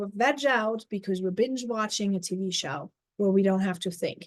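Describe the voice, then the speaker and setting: Speaking at a moderate pace, a woman talks with a German accent. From Germany. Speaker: life coach. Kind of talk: live stream talk.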